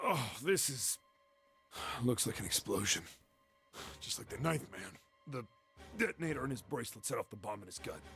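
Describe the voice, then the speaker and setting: Using a raspy put-on character voice at medium pitch, a man moves at a fairly quick pace with very wide pitch swings and long, frequent pauses, faint music playing in the background. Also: big swings in loudness. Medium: video game. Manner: gruff, blunt.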